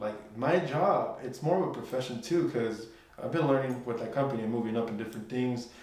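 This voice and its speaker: A man talks very fast at a medium pitch, with ordinary pitch variation. Noticeable background noise and audible room echo fill the recording. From Mexican-American family from Jalisco, raised in the US. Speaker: music producer and tech worker. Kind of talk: casual chat.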